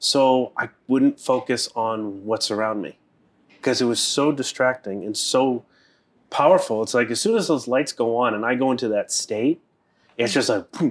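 In a very clean recording with a silent background, a man with an American accent speaks at a moderate pace and medium pitch, with ordinary pitch variation, in a plain, everyday voice. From US East Coast, Boston. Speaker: Taoist priest and teacher. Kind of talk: casual interview chat.

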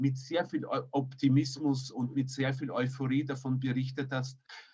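With a medium pitch, a man speaks fairly slowly. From emigrated as a child, raised partly elsewhere. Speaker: podcast co-host. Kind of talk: interview. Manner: formal.

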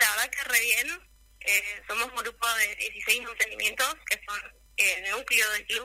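A normal speaking voice comes at a fairly slow pace. The intonation stays fairly even. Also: woman, fairly high pitch for a woman. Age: 20s. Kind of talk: radio interview.

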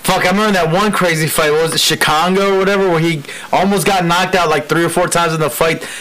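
Over noticeable background noise, a man talks very fast at a high pitch. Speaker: podcast co-host. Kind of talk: casual banter podcast.

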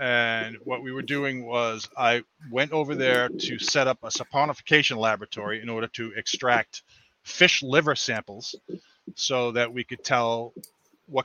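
In a normal speaking voice, a man talks at a moderate pace and medium pitch with fairly even intonation and an American accent. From Massachusetts. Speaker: chemical research worker. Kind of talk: casual chat.

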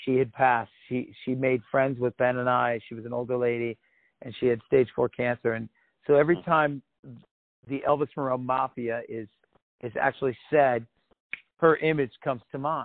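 A man with an American accent talks at a moderate pace and medium pitch. His intonation is fairly even, broken by long, frequent pauses. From Oregon, US. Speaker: rock musician. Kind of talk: interview.

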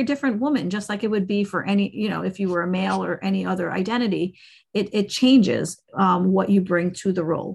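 Over a quiet background, a woman talks at a fairly quick pace in a somewhat breathy voice of medium pitch with fairly even intonation. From Caribbean. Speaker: attorney. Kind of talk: casual interview. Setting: podcast interview. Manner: halting, many restarts.

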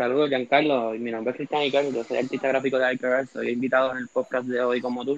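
Speaking very fast, a man keeps his medium-pitched voice monotone and flat. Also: hardly any pauses. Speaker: graphic artist. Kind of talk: casual chat.

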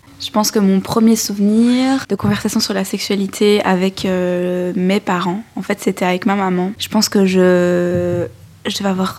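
Amid noticeable background noise, a woman with a medium pitch speaks at a fairly slow pace with ordinary pitch variation. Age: 20s. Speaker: young woman giving testimony. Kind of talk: testimony.

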